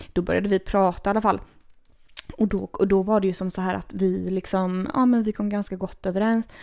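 At a fairly quick pace, a woman speaks in a dark, mellow tone at a medium pitch, her intonation flat and monotone, on a very clean recording with a silent background. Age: 30s. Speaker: podcast host. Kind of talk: casual chat.

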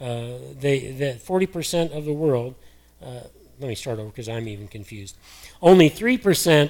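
A man speaks in a normal speaking voice at a fairly slow pace. His pitch is fairly high. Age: 60s. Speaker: pastor. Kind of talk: sermon.

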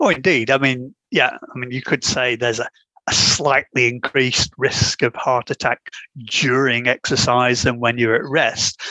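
A man with a plain, everyday voice talks at a moderate pace and medium pitch, with fairly even intonation and a dry, close sound with no echo. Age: 60s. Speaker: retired university professor and author. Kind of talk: interview, explanatory.

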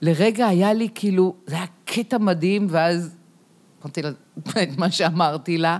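On a very clean recording with a silent background, a woman speaks at a fairly slow pace in a fairly low pitch with ordinary pitch variation. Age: 60s. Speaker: yoga and movement theatre teacher, protest activist. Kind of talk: casual chat. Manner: animated.

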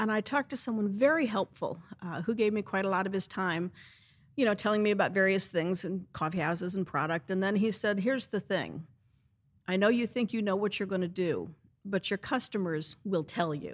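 In an ordinary speaking voice with an American accent, a woman talks at a fairly quick pace and medium pitch, with ordinary pitch variation, on a very clean recording with a silent background. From US Midwest, St. Louis, Missouri. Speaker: bookstore and coffee house owner. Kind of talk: casual interview.

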